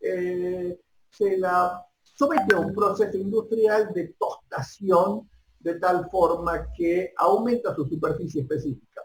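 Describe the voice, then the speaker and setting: A high-pitched man talks very slowly, his pitch varying in an ordinary way. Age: 50s. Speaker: university lecturer. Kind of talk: lecture. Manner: halting.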